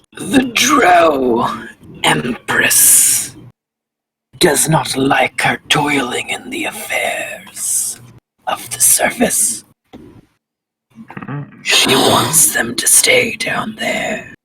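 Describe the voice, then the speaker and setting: In a raspy, put-on character voice, a man speaks at a very slow pace with long, frequent pauses. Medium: actual play.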